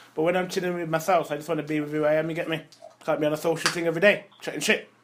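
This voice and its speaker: Very fast speech from a man with fairly high pitch, over noticeable background noise. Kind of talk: casual chat. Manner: animated.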